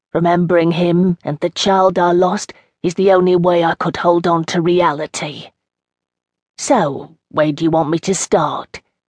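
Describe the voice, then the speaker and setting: Heard in a dry, close sound with no echo, a woman with an unremarkable speaking voice talks at a fairly low pitch and a moderate pace. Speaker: audiobook narrator. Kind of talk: scripted narration. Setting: studio. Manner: rambling, reminiscing, warm and wry.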